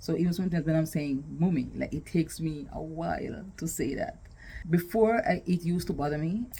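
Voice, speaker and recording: A woman's somewhat breathy, dark, mellow voice, fairly low in pitch, at a fairly quick pace. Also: ordinary pitch variation. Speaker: vlogger and podcaster. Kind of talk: casual talk to camera.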